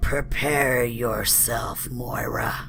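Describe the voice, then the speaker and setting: A put-on character voice whispers in a gravelly, rumbling way over clear background noise. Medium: read story. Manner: menacing, mocking.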